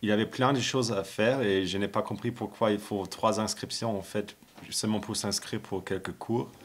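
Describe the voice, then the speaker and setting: Intonation stays fairly even as the speaker keeps a moderate pace. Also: man, fairly low pitch for a man. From Germany. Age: 20s. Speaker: Erasmus student. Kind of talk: interview. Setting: at home. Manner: halting.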